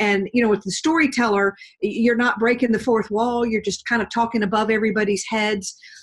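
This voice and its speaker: In an American accent, a woman speaks fairly quickly in a fairly high, somewhat breathy voice, her loudness very even and her intonation fairly even. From US South, Georgia. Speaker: professional storyteller and speaker. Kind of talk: interview.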